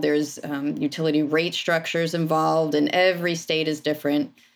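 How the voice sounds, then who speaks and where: A woman's plain, everyday voice at a moderate pace, with ordinary pitch variation, on a very clean recording against a silent background. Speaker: energy company owner and energy savings engineer. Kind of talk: professional interview.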